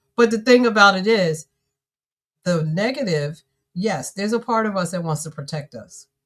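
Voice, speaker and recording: At medium pitch and a moderate pace, a woman speaks in an animated tone with a somewhat breathy voice, lively intonation, big swings in loudness and long, frequent pauses. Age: 60s. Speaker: author and business coach. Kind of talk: live-streamed conversation. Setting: live stream.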